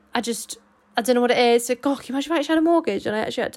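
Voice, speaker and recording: Animated and high-pitched, a woman speaks with an English accent and ordinary pitch variation. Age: 20s. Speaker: podcast co-host. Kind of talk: casual solo chat.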